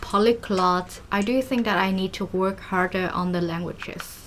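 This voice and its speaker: Over noticeable background noise, a speaker with a Vietnamese accent talks with ordinary pitch variation. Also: woman. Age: 20s. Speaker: vlogger. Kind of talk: casual vlog talk while cooking.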